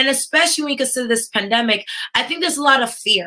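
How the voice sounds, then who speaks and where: A woman with a New York accent. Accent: American, New York. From New York, US. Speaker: tech entrepreneur and speaker. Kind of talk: conference keynote talk. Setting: virtual livestreamed summit. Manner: animated, addresses audience directly.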